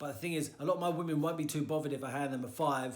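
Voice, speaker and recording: A man with a fairly high voice talks very fast, with ordinary pitch variation and audible room echo. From Florida. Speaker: personal trainer. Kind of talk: tutorial.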